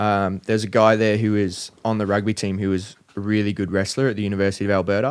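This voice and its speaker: A man with an Australian accent talks at a very fast pace in a fairly low, monotone voice with flat intonation, in a very clean recording with a silent background. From Australia, country Victoria (Bacchus Marsh). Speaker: professional MMA fighter. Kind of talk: casual chat.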